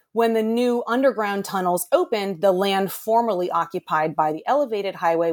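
The sound is dry and close, with no echo. A normal speaking voice has ordinary pitch variation and a moderate pace. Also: woman. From Boston, US. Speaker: architectural historian. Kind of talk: interview.

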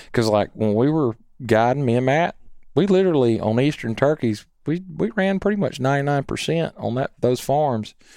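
Over a quiet background comes a man's dark, mellow tone. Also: lively intonation, moderate pace. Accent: Southern US. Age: 40s. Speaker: game call maker and turkey hunter. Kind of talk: casual chat. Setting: studio.

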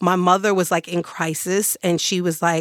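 In a very clean recording with a silent background and a dry, close sound with no echo, a woman with an American accent and a fairly low pitch speaks at a moderate pace with flat, monotone intonation. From New York area (Long Island). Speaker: criminal justice reform advocate, formerly incarcerated. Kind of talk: interview.

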